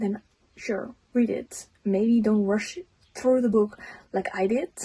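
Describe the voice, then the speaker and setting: Speaking at a fairly slow pace with a non-native accent, a woman has a fairly high pitch, a somewhat breathy, dark, mellow tone and fairly even intonation. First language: not English. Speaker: book reviewer, friend of the host. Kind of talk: casual book review.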